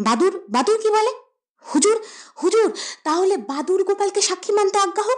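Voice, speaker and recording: Pitched extremely high, the speech comes in a put-on character voice. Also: moderate pace. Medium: audio drama. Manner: aggressive, formal court address.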